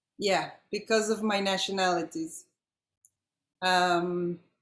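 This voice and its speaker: Speaking at a medium pitch, a woman keeps her intonation fairly even. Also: long, frequent pauses, very even loudness. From Colombia and Israel. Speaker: audience member. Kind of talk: personal story sharing.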